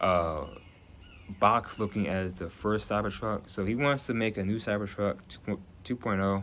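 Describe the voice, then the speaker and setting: A man with an American accent speaks in a normal speaking voice at a moderate pace. His pitch is fairly low and his intonation fairly even. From New Jersey. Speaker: YouTuber making prediction videos. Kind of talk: casual monologue to camera.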